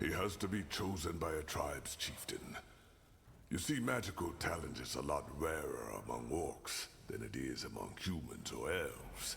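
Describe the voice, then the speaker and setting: A man puts on a character voice with a very deep, low pitch, speaking at a moderate pace against clear background noise. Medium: video game. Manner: frank, earthy, occasionally swearing.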